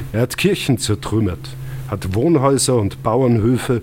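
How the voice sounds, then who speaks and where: There is noticeable background noise. A man talks at a fairly slow pace with ordinary pitch variation. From Austria, Lungau (Salzburg). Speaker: historian and author. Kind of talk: reading aloud. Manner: formal.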